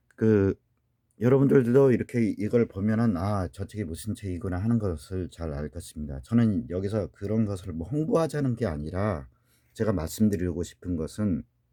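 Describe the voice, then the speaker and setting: Speaking at a moderate pace, a man uses lively intonation, a fairly low pitch and a dark, mellow tone. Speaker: language teacher. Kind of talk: lecture.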